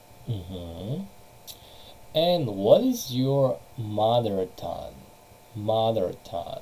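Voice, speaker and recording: In a Russian accent, the speaker goes at a very slow pace with long, frequent pauses. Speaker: English teacher. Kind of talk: online lesson.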